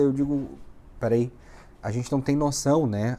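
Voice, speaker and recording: At a moderate pace, a man with a dark, mellow tone speaks in a southern Brazilian accent. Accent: gaúcho. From southern Brazil (Rio Grande do Sul, Uruguaiana). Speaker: immigration lawyer, vlogger. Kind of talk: casual vlog. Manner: animated.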